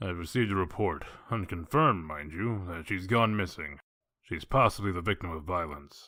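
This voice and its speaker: A man puts on a character voice with a very deep, low pitch, speaking at a moderate pace. The recording is very clean, with a silent background. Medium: audio drama. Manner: blunt, terse, businesslike.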